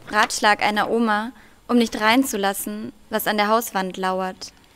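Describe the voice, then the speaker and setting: A woman talks very slowly with fairly even intonation. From Germany, Russian-German family. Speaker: poet; debut poet. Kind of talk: poetry reading; interview answer and poetry reading. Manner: hesitant with many fillers when talking. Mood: calm, thoughtful. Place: stage. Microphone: podium.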